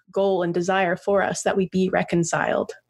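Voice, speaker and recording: A woman at a medium pitch speaks in a monotone, flat intonation. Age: 30s. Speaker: priest and podcast co-host. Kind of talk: casual chat. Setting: remote internet recording.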